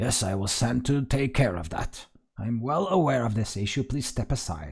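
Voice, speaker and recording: Using a put-on character voice, a man rumbles at a medium pitch and a moderate pace. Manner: stern, dismissive.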